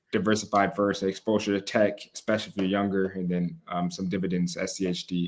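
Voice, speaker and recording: Very fast speech comes from a man with an American accent. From Chicago, US Midwest. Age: 20s. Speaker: podcast host and entrepreneur. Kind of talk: casual panel discussion.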